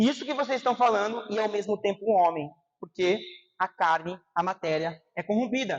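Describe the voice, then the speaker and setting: Delivered at a moderate pace, the speech carries lively intonation. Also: man. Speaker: preacher. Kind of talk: sermon.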